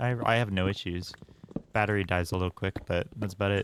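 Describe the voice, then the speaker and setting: In a very clean recording with a silent background, a man talks at a fairly quick pace in a plain, everyday voice with a fairly low pitch. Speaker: gaming streamer. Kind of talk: casual chat. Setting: live stream. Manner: relaxed, chill.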